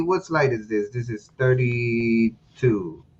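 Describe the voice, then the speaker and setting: With a Spanish accent, this speaker delivers words rather slowly. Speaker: presenter of a lecture. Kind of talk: lecture. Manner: halting, many repeated words.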